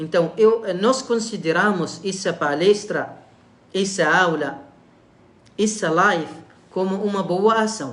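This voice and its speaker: A man with a non-native accent speaks at a very slow pace in a high voice, with ordinary pitch variation, long, frequent pauses and audible room echo. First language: Arabic (speaking Portuguese). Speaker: imam giving religious lectures. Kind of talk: religious lecture livestream. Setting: online live stream. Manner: halting, many fillers.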